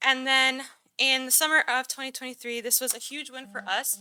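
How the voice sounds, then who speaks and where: A woman's high, raised, projected voice, bright and sharp in tone, at a fairly quick pace, with a dry, close sound and no echo. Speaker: city recreation staff presenter. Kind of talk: presentation at council meeting. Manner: fast.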